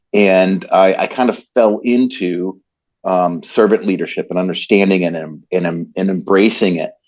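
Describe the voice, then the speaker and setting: Very deep and low in pitch, a male speaker talks at a middling rate with fairly even intonation. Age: 60s. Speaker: business leader. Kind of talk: interview. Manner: halting.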